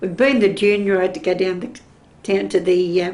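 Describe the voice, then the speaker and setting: A woman talks at a fairly quick pace with a dark, mellow tone. Her pitch sits in the medium range. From Sydney, Australia. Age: 70s. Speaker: oral history interviewee. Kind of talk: oral history interview.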